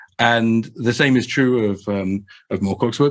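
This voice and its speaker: In a very clean recording with a silent background, a man with a south London accent speaks in a fairly low voice. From England, Croydon (south London). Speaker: game master and podcast guest. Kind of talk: casual discussion. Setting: podcast recording. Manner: hesitant, many fillers and repeats.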